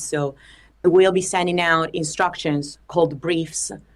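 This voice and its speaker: With an Italian accent, a woman speaks at a moderate pace in a fairly low pitch. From Italy. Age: 20s. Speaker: singer-songwriter. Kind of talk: interview.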